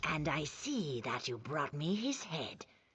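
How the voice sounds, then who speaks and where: A put-on character voice sits at a low-to-middle pitch. The pace is moderate. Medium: video game. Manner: formal, measured.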